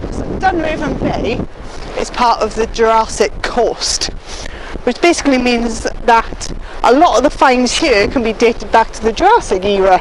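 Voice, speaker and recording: Shouting loudly over noticeable background noise, a woman uses a high pitch and lively intonation at a moderate pace. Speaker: nature presenter and vlogger. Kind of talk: outdoor vlog walkthrough. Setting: outdoors on a beach. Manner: loud, shouting over wind.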